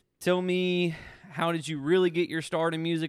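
A man with a Southern US accent, talking at a moderate pace. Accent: Southern US (Georgia). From Georgia, US South (Thomaston). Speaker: podcast host. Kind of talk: casual chat.

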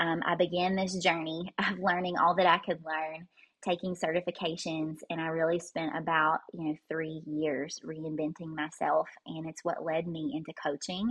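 A woman with a Southern US accent, a fairly low pitch, monotone, flat intonation and a moderate pace. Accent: Southern US, noticeable. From Kentucky, US. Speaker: holistic life coach and breathwork practitioner. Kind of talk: casual interview chat. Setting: podcast interview.

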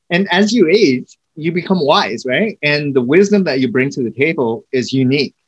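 A man's fairly high-pitched, normal speaking voice with lively intonation and hardly any pauses, in a dry, close sound with no echo. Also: moderate pace. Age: 40s. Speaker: podcast host. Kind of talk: interview.

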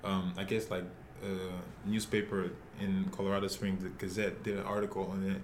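A man with a fairly low pitch talks at a fairly quick pace. Audible room echo surrounds his voice. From Nigeria, Lagos. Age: 20s. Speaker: professional soccer player. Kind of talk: interview.

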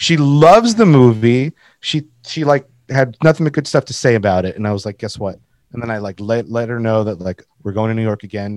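A man speaks at a fairly quick pace in an unremarkable speaking voice, medium in pitch with ordinary pitch variation. The sound is dry and close with no echo, and the recording is very clean with a silent background. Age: 30s. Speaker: graphic designer and merch brand owner. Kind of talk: casual chat.

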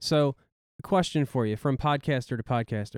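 A man speaks at a moderate pace and medium pitch in a plain, everyday voice. The sound is dry and close, with no echo. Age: 30s. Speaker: podcast co-host. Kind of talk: casual chat.

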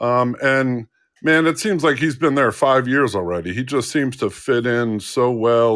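Speaking at a fairly slow pace with an American accent, a man has a medium pitch and a plain, everyday voice. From New Jersey. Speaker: sportswriter. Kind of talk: casual interview.

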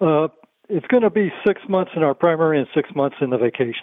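A man with an ordinary speaking voice talks at a fairly quick pace, his pitch fairly high and its variation ordinary. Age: 60s. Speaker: caller near retirement. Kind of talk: call-in question.

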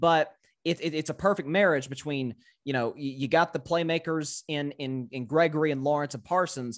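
In a very clean recording with a silent background, a man speaks at a fairly high pitch with ordinary pitch variation and a slight Southern US accent. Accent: slight Southern drawl. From US South, Tennessee. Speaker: sports podcaster. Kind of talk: casual sports debate. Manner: halting, repeats words.

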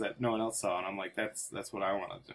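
In an American accent, a man talks at a medium pitch with ordinary pitch variation in a normal speaking voice. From Chicago. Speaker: comedic performer, cast member. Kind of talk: improv comedy chat.

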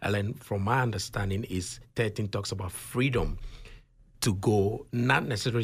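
This man speaks with a fairly low pitch, ordinary pitch variation and a somewhat breathy quality on a very clean recording with a silent background. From Ghana. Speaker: author and consultant. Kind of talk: interview.

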